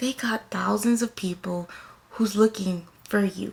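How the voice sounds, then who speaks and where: Soft-spoken and somewhat breathy, a woman with an American accent speaks at a fairly slow pace in a medium pitch. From US South. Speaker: lifestyle and self-care vlogger. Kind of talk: motivational talk to camera.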